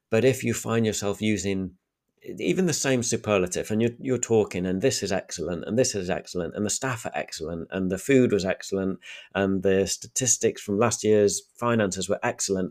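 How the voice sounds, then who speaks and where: A man with a Sheffield accent at a fairly low pitch and a fairly quick pace, in a very clean recording against a silent background. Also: ordinary pitch variation. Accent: Sheffield northern English. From Sheffield, northern England. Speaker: podcast host. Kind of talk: solo podcast monologue with practical tips. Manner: clear, well-spoken, conversational.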